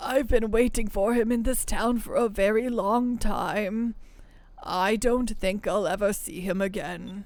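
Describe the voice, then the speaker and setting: Someone does a put-on character voice at a fairly high pitch and a fairly slow pace. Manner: sad, wistful.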